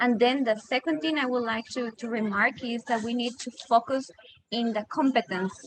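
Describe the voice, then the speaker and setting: A woman with a Costa Rican accent speaks at a fairly high pitch with ordinary pitch variation. Noticeable background noise sits under her voice. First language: Spanish. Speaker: disaster risk expert. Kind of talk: panel discussion. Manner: halting.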